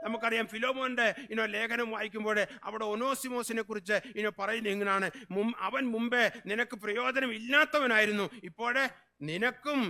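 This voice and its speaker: A man's raised, projected voice, extremely high in pitch, bright and sharp in tone, with fairly even intonation. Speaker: pastor. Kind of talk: sermon. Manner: fervent, repeated hallelujahs.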